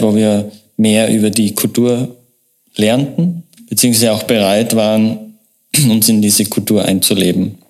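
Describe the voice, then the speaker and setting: At a fairly slow pace, a man speaks in a fairly low voice with fairly even intonation. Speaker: marketing agency owner. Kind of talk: interview. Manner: halting.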